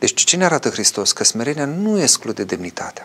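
Noticeable background noise behind a man's fairly high-pitched voice. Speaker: Orthodox priest answering viewer questions. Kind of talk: live call-in religious talk show.

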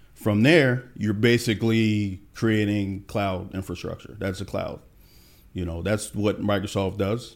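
Speaking fairly slowly, a man with an American accent uses a fairly low pitch and fairly even intonation in an ordinary speaking voice. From Pennsylvania (Allentown). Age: 40s. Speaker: tech professional. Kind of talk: interview.

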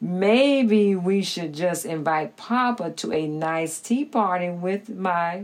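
What we hear is plain reading aloud.

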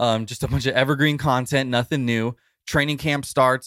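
On a very clean recording with a silent background, a man at medium pitch speaks at a very fast pace with a dry, close sound and no echo. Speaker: sports site editor. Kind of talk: news commentary segment.

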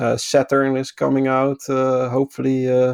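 A man with a Dutch accent talks at a fairly slow pace and a medium pitch, in a monotone, flat intonation. The sound is dry and close, with no echo. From Netherlands. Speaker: podcast guest. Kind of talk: casual chat.

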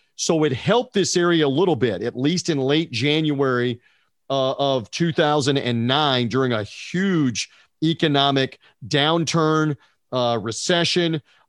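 In an ordinary speaking voice, a man with a fairly high pitch talks at a fairly slow pace, with ordinary pitch variation and very even loudness, over a quiet background. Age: 50s. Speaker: sports radio broadcaster. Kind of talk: casual sports talk interview.

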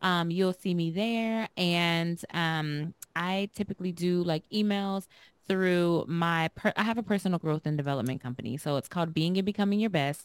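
A woman's normal speaking voice, fairly low-pitched, at a moderate pace with ordinary pitch variation, in a dry, close sound with no echo and a very clean recording over a silent background. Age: 30s. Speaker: dentist and breast cancer survivor. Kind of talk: casual chat. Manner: relaxed, chill.

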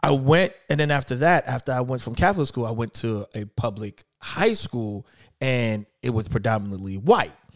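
A plain, everyday voice with an American accent, speaking at a moderate pace with lively intonation. The sound is dry and close, with no echo. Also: man, medium pitch for a man. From New York. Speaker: podcast host. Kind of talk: casual interview chat.

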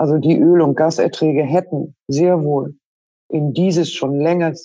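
A woman's very deep, low voice, dark and mellow in tone, at a fairly slow pace with monotone, flat intonation. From northern Germany, Schleswig-Holstein. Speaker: business executive. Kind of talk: interview. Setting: remote call.

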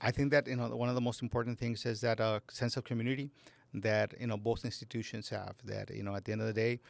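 In a dry, close sound with no echo, a man at a medium pitch talks very fast in a flat monotone. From Laredo, Texas. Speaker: school district administrator. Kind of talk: interview.

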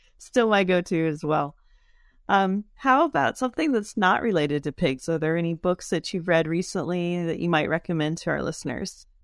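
On a very clean, dry, close recording with a silent background and no echo, a woman with an unremarkable speaking voice talks at a moderate pace in a fairly low pitch, with ordinary pitch variation. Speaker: podcast host. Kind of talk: interview.

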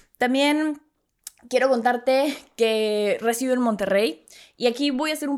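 The tone is animated and the intonation lively, at a fairly slow pace. The recording is very clean, with a silent background. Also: woman. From Mexico City. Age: 20s. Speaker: podcast host. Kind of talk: casual monologue.

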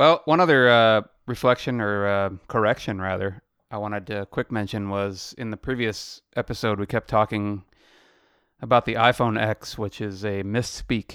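Over a silent background in a very clean recording, a man with a plain, everyday voice speaks at a moderate pace, his fairly low pitch varying in an ordinary way. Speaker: podcast co-host. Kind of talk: casual chat. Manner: laid-back, laughs often.

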